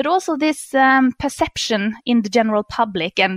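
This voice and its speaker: A woman with a Norwegian accent, fairly high-pitched and fairly slow, her intonation lively, in a dry, close recording with no echo. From Norway. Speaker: economist. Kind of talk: interview. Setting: remote call. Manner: halting with fillers.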